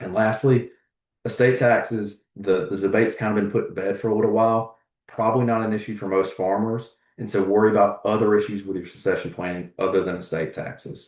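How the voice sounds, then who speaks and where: Against a quiet background, a man with a Southern US accent speaks fairly quickly in a fairly low voice with fairly even intonation. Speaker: agricultural economist. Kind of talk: webinar presentation. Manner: fast.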